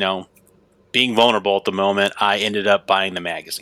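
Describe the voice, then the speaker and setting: This man's voice sits fairly low and has a bright, sharp tone. His intonation is monotone and flat. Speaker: copywriter and mindset coach. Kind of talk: interview.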